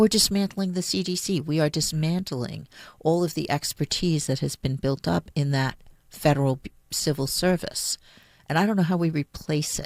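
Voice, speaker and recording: A woman with a very deep, low pitch speaks at a moderate pace with ordinary pitch variation on a very clean recording with a silent background. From Puerto Rico. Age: 60s. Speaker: city attorney. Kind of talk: radio interview.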